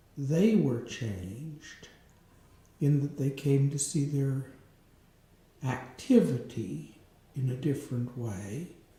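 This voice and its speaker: In a dark, mellow, somewhat breathy voice with lively intonation, the speaker goes at a very slow pace with long, frequent pauses amid audible room echo. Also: man, fairly high pitch for a man. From rural farm upbringing. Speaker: interviewer. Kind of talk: interview.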